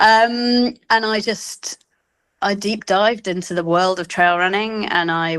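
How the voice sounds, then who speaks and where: With a British accent, a woman speaks with ordinary pitch variation. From England, London. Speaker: cancer exercise coach. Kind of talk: interview.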